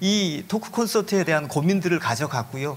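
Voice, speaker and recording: Lively intonation colors a man's high-pitched voice. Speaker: pastor working with at-risk youth. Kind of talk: panel talk. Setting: stage with audience.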